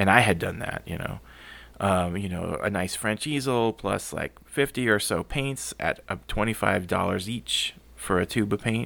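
In a plain, everyday voice, a man speaks at a moderate pace with fairly low pitch and ordinary pitch variation, on a very clean recording with a silent background. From US South, San Antonio, Texas. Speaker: urban sketcher and artist. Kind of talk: casual interview.

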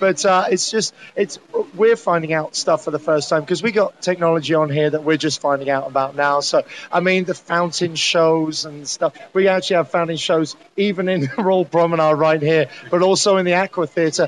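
The speaker has a British accent and a moderate pace with ordinary pitch variation. The sound is dry and close, with no echo. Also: man, high pitch for a man. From UK. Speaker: cruise director. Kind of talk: interview. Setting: aboard a cruise ship.

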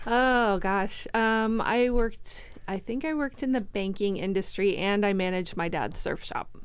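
A woman speaks at a moderate pace and a medium pitch, with ordinary pitch variation, hardly any pauses and audible room echo. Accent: American. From Florida. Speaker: chamber of commerce director. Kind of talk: casual interview. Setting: studio.

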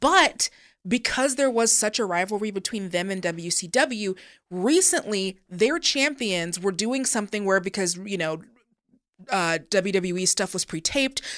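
A woman with a plain, everyday voice speaks in an American accent at a medium pitch and moderate pace. Her intonation is lively, on a very clean recording with a silent background. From Seattle, US Pacific Northwest. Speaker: podcast host, wrestling commentator. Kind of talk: casual chat, explaining history.

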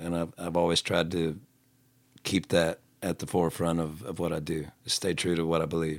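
A man with a Southern US accent, very deep and low in pitch, monotone and flat, at a moderate pace with long, frequent pauses, on a very clean recording with a silent background. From US South. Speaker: singer-songwriter. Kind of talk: casual chat.

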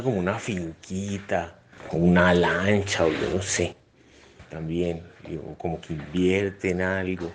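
A man speaks with a very deep, low pitch. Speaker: father, podcast interviewee. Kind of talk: reflective monologue answer.

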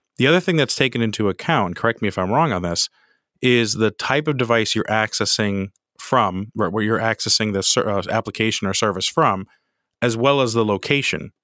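A man's bright, sharp tone carries ordinary pitch variation. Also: medium pitch for a man, fairly quick pace. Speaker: podcast host. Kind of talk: podcast interview.

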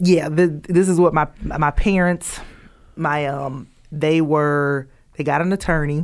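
With a Southern US accent, a woman speaks at a fairly slow pace in a very deep, low pitch, her intonation fairly even. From US South; Columbus, Georgia. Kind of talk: casual chat. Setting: studio.

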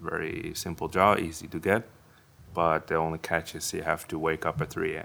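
This man has a very deep, low pitch and a bright, sharp tone, speaking at a moderate pace in a monotone, flat delivery. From Netherlands. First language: Dutch (speaking Chinese). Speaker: Dutch husband living in Taiwan. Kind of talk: casual chat. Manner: halting.

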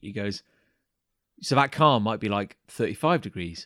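At a moderate pace, a man with an English accent talks in a dry, close sound with no echo. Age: 30s. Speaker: podcast host. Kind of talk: casual chat. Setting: remote call.

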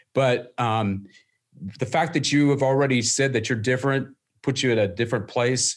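On a very clean recording with a silent background, a man speaks at a moderate pace with fairly even intonation. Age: 50s. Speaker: company CEO. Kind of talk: conference presentation. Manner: halting.

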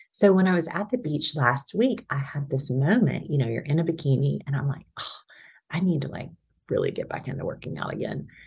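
Her voice very deep and low with vocal fry, a woman talks at a fairly quick pace with lively intonation. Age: 30s. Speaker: podcast guest sharing personal experience. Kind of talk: casual chat.

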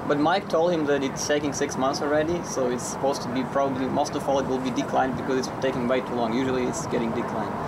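Over noticeable background noise, a medium-pitched man talks very fast with fairly even intonation and hardly any pauses. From Ukraine. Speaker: international student, fraud victim. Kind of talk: interview. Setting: outdoors near traffic.

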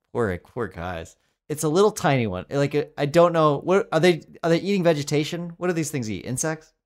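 A man with a normal speaking voice and an American accent talks at a fairly quick pace, fairly high in pitch with lively intonation, in a very clean recording with a silent background. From Colorado. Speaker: comedy writer and podcast co-host. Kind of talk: casual chat.

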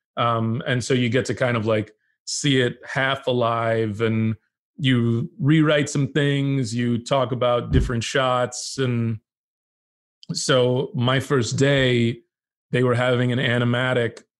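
A man talks with an unremarkable speaking voice at a medium pitch and fairly even intonation. His pace is fairly slow, and the background is quiet. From Texas. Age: 30s. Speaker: TV comedy writer. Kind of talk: casual chat.

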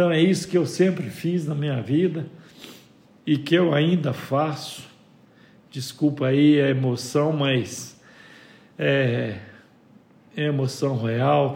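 In a room with audible echo, a man with a fairly high, somewhat breathy voice speaks very slowly, leaving long, frequent pauses. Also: ordinary pitch variation. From Minas Gerais, Brazil (João Pinheiro, northwest). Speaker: business owner. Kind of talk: interview.

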